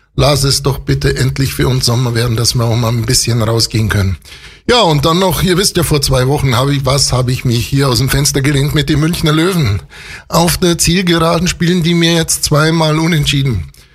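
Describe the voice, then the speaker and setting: Noticeable background noise sits behind a man speaking at a fairly quick pace. His voice is fairly high, with ordinary pitch variation and very even loudness. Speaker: local radio host. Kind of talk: radio show presenting and interview. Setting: radio studio. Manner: animated.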